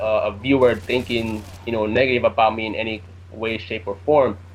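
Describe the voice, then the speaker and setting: A man with a Jamaican accent speaks at a moderate pace. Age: 20s. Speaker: gaming commentator. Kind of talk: casual chat.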